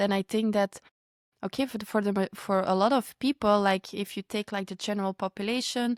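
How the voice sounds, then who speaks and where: A woman with a non-native accent speaks in fairly even intonation on a very clean recording with a silent background and a dry, close sound with no echo. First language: not English. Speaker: podcast host. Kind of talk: podcast conversation.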